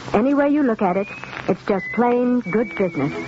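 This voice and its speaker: Over light background noise, a woman speaks. Her pace is moderate. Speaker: radio announcer. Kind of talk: radio advertisement announcement. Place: studio. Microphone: old recording.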